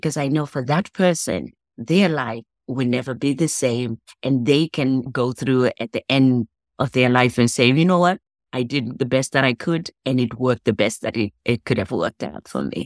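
Recorded very cleanly against a silent background with a dry, close sound and no echo, a woman's very deep, low voice moves at a moderate pace with ordinary pitch variation. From Zimbabwe. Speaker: life coach and motivational speaker. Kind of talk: interview.

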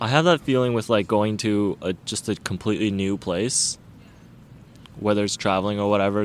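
A man speaks in an ordinary speaking voice at a fairly low pitch. His pace is fairly quick and his intonation fairly even. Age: 20s. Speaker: photographer and engineering student. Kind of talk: casual chat. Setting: outdoors in a park.

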